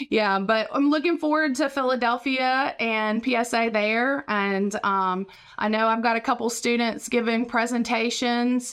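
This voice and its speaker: Heard on a very clean recording with a silent background, a woman with an American accent and an unremarkable speaking voice talks at a fairly slow pace with hardly any pauses, her fairly high voice keeping fairly even intonation and very even loudness. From West Virginia, Raleigh County. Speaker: professor and podcast co-host. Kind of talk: casual chat.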